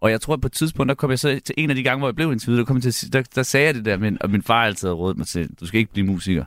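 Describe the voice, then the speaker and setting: The man talks at a very fast pace and a medium pitch, with lively intonation. The sound is dry and close, with no echo. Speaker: musician and music producer. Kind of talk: casual radio interview.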